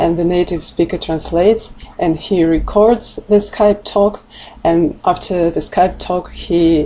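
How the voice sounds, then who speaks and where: Very slow speech with a Russian accent and fairly even intonation comes through over noticeable background noise. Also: woman. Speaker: language teacher. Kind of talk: tutorial. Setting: livestream. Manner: halting.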